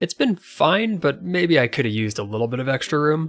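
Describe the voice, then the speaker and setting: With music in the background, a man with a fairly high-pitched voice speaks at a fairly quick pace, his pitch swinging very widely. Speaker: channel creator, product reviewer. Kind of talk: product review talk.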